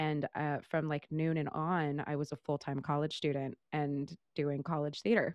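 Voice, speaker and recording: A woman speaks at a very deep, low pitch and a moderate pace. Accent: American. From Northern California, Central Valley. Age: 30s. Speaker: Broadway actress and singer. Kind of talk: casual interview chat. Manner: animated.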